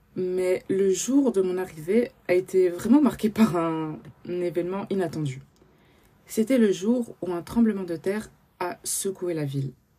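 With big swings in loudness, a woman speaks at a medium pitch in a dark, mellow tone, using ordinary pitch variation. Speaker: podcast host. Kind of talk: personal testimony. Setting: at home, early morning.

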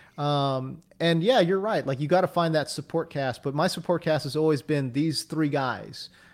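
A man's voice moves at a moderate pace with ordinary pitch variation, captured on a very clean recording with a silent background. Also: fairly high pitch for a man, hardly any pauses. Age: 40s. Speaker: fantasy sports writer and TV analyst. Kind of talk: casual interview. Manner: animated, laughs often.

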